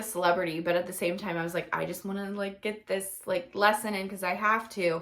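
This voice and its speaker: Fairly quick speech from a woman, with noticeable background noise. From Pennsylvania. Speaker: teacher, video blogger. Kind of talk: casual Q&A vlog. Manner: casual, many fillers.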